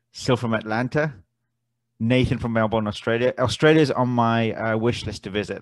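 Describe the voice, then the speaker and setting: A man with an English accent speaks at a medium pitch against a quiet background. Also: dry, close sound with no echo. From South London, England. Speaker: forex trading educator. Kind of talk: webinar presentation. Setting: online webinar on Zoom. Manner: halting, many fillers.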